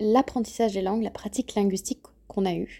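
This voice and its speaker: A woman with a medium pitch speaks at a fairly quick pace in a dark, mellow tone. Her pitch varies in an ordinary way, and the recording is very clean with a silent background. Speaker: podcast host, language learning. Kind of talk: casual solo narration and interview. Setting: outdoors, walking.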